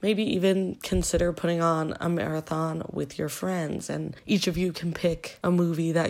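A woman speaks at a fairly low pitch and a moderate pace. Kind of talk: casual podcast chat. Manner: hesitant, many fillers.

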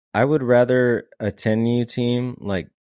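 A man with an unremarkable speaking voice talks at a fairly slow pace and medium pitch in a very clean recording with a silent background. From San Antonio, Texas. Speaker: guest, former college baseball player, marketing/content. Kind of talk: casual interview chat.

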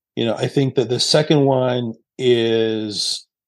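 Against a quiet background, a man with a normal speaking voice talks at a medium pitch with fairly even intonation. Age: 50s. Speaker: company CEO and author. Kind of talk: interview. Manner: conversational with many fillers.

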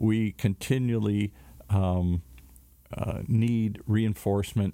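An American man speaks at a fairly low pitch in a dark, mellow tone. The recording is very clean, with a silent background and a dry, close sound with no echo. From US Midwest, big cities. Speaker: radio announcer. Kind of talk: casual radio talk show chat. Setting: community radio studio.

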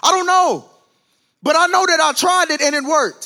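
In an American accent, a man with a bright, sharp tone speaks in a raised, projected, animated voice at a fairly quick pace. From US South. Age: 20s. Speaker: preacher. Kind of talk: sermon.

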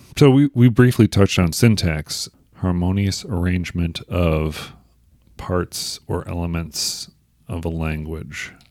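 Very clean recording with a silent background of a man at a fairly slow pace, very deep and low in pitch, with lively intonation. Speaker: podcast host. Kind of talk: casual interview chat.

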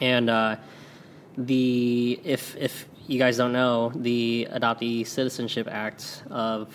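Very slowly, a man speaks in a monotone, flat delivery with an American accent. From St. Louis area, US Midwest. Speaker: Korean adoptee, Air Force veteran, community organizer. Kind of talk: casual interview chat.

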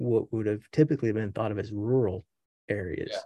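With an Appalachian accent, the speaker has a dark, mellow tone and fairly even intonation over a quiet background. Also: man. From Appalachia, Welch, West Virginia. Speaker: professor and astronomer. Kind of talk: casual interview chat.

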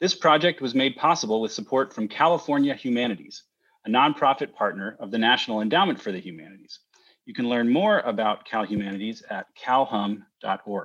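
Using an unremarkable speaking voice at medium pitch, a man talks at a fairly quick pace with lively intonation and big swings in loudness. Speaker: university event host. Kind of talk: scripted welcome and closing remarks.

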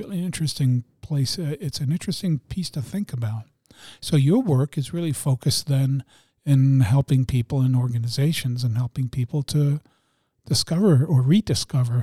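This man speaks at a moderate pace in a fairly high pitch, his dark, mellow tone somewhat breathy, with ordinary pitch variation and a dry, close sound with no echo. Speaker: podcast co-host. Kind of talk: casual chat. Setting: studio.

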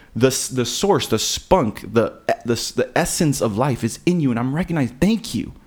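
A man with an American accent and an unremarkable speaking voice talks at a moderate pace and medium pitch, his intonation lively. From South Florida and Texas. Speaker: podcast guest. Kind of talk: casual chat.

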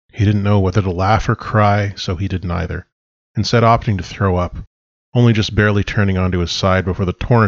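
Quiet background, a natural reading voice, fairly even intonation

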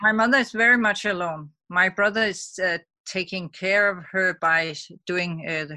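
A bright, sharp tone with a Danish accent, moderate pace and ordinary pitch variation, on a very clean recording with a silent background. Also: woman. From Denmark. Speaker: mother living abroad. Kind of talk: interview.

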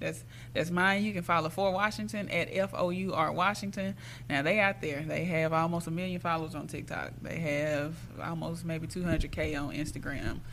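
Amid audible room echo, a woman with a very deep, low pitch and vocal fry speaks at a moderate pace with ordinary pitch variation. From Jackson, Mississippi. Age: young. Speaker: artist manager. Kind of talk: casual interview.

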